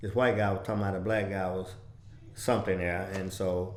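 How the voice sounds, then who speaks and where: Monotone, flat delivery at a moderate pace, with audible room echo. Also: man. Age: 70s. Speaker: civil rights veteran. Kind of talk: interview. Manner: halting.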